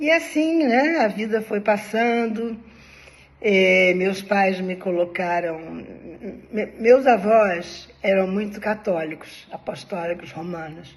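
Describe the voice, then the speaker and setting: Intonation is lively from this woman. She talks at a very slow pace. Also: medium pitch for a woman. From Brazil, Rio de Janeiro (Ipanema). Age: 70s. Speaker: personal storyteller, former spiritist. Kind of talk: personal life story monologue. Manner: conversational, informal.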